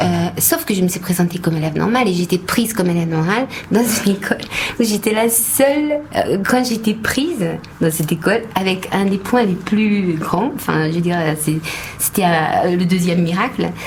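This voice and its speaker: With a slight Hungarian accent, a woman at medium pitch speaks at a moderate pace with lively intonation and very even loudness, over noticeable background noise. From Hungary. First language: Hungarian (speaking French). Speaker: actress. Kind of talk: radio interview. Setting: radio studio. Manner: halting.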